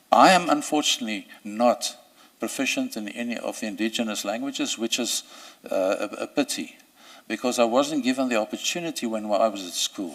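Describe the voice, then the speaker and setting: A man with a South African accent at a fairly quick pace. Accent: Afrikaans South African English. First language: Afrikaans. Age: 60s. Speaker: judicial candidate, senior advocate. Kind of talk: job interview. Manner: halting, many fillers and repetitions.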